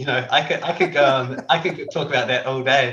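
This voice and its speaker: A man speaks with a New Zealand accent at a fairly quick pace. His pitch is medium, with ordinary pitch variation. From New Zealand, Dunedin. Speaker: ophthalmic surgeon. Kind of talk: casual chat.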